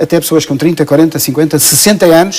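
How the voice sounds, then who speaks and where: A man speaks over noticeable background noise. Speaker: coach, association president. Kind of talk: TV talk show interview. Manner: hesitant, many fillers.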